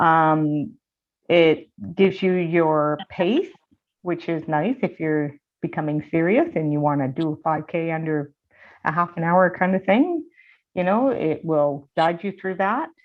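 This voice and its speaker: Speech comes at a fairly unhurried rate. The pitch varies in an ordinary way. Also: woman, fairly low pitch for a woman. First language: sign language. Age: 50s. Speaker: guest speaker with hearing and vision loss, runner. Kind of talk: presentation to a seminar group. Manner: hesitant, many fillers.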